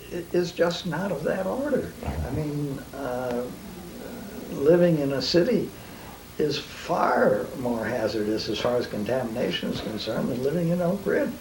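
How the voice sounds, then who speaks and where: Noticeable background noise and audible room echo fill the clip. A man with a fairly high pitch makes very wide pitch swings. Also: moderate pace. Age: 70s. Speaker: nuclear physicist. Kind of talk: interview. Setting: living room. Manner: hesitant, with fillers and repetitions.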